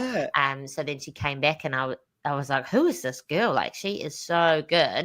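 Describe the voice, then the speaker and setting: In a very clean recording with a silent background, a woman with a New Zealand accent speaks in a very deep, low voice. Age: young. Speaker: stand-up comedian. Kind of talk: interview answer. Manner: upbeat.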